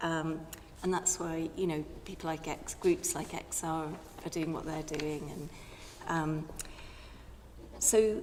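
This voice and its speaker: Very slow delivery with long, frequent pauses, monotone, flat intonation and audible room echo. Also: woman, very deep, low pitch for a woman. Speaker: environmental campaigner. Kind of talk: panel discussion. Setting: church with audience. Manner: halting.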